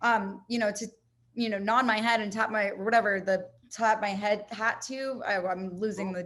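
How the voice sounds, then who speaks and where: A woman speaks in an unremarkable speaking voice at a fairly high pitch. Her pace is moderate and her intonation fairly even. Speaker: podcast host. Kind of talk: casual chat.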